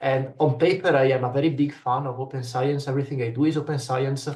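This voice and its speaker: At a very fast pace, a man with a medium pitch speaks in a somewhat breathy voice with a non-native accent. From Italy. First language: Italian. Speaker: researcher. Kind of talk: panel discussion. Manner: hesitant, many fillers.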